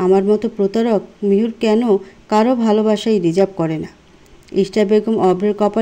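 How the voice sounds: The intonation stays fairly even throughout a natural reading voice.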